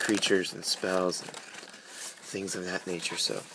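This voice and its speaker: Through noticeable background noise comes a man's very deep, low voice. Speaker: card game youtuber. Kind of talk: unboxing video. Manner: casual with many fillers.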